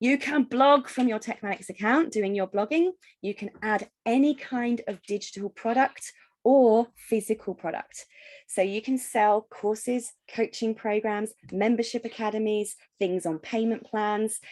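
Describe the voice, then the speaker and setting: A woman with an ordinary speaking voice talks at a fairly slow pace. Her pitch is fairly high with ordinary variation, and the sound is dry and close with no echo. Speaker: software company founder. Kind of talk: tutorial.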